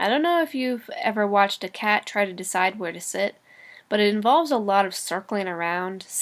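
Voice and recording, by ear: The voice is reading aloud. It stays natural throughout.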